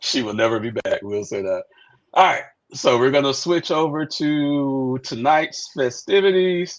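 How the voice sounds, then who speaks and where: Fairly slow and with lively intonation, a man speaks at a fairly high pitch. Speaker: podcast host. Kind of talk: casual chat. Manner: loud.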